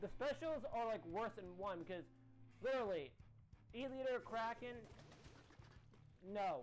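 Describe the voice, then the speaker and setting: The speaking pace is fairly slow. Behind it, music can be heard in the background. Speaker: gaming streamer. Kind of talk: live gameplay commentary. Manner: halting, repeats words.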